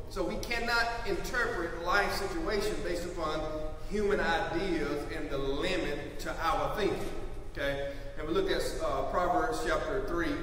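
Strong room echo and light background noise accompany a man speaking at a moderate pace. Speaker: preacher. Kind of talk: sermon. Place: church. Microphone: podium.

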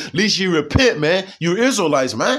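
A man at a moderate pace. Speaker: street-style preacher and video channel host. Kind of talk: angry preacher rant, fiery sermon-style condemnation of sinners. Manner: accusatory, shouting down listeners in a ranting cadence.

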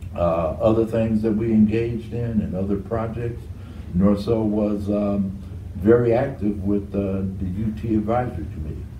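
A man with an American accent speaks at a moderate pace in a fairly low pitch, with fairly even intonation. Audible room echo and light background noise surround him. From Detroit, Michigan. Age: 60s. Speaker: architect; interviewee. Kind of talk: oral history interview.

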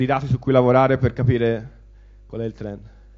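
A man talks against a quiet background. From Italy. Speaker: information security manager; conference speaker. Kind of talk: conference talk. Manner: halting. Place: hall. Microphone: handheld.

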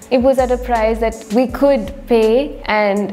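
A woman's high voice at a very slow pace, with faint music in the background. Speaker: vlogger narrating a trip. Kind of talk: casual vlog storytelling. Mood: animated, reflective.

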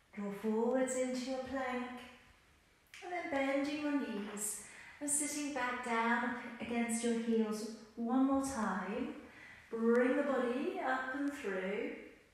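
A woman with a high pitch speaks at a very slow pace, using long, frequent pauses and ordinary pitch variation. Strong room echo surrounds her voice. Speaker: exercise instructor. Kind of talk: tutorial. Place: empty room.

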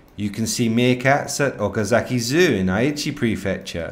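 A man speaks at a fairly slow pace in a medium pitch. His tone is enthusiastic. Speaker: educational narrator. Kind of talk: nature documentary narration for young learners. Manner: clear, slow, simple wording, friendly; gently enthusiastic, storyteller tone.

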